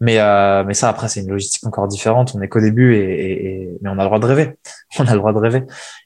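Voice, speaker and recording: Against a quiet background, a man speaks at a very fast pace. His voice is fairly low with fairly even intonation. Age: 20s. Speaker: furniture designer and entrepreneur. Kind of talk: interview. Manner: hesitant, many fillers and repetitions.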